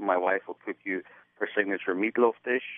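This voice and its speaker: A man speaks with an Irish accent. His pitch is fairly low and his intonation fairly even. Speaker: filmmaker. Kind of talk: interview. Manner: halting.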